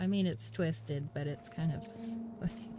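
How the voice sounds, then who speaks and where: Soft-spoken, a woman talks amid noticeable background noise and audible room echo. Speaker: gaming streamer. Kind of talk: casual live-stream chat. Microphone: voice too quiet relative to game audio.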